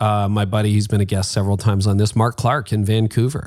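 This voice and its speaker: Over a silent background in a very clean recording, a man with a fairly low pitch speaks at a fairly quick pace. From Canada, Toronto area. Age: 50s. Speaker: pastor and podcast host. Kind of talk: interview about leadership. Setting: home basement studio.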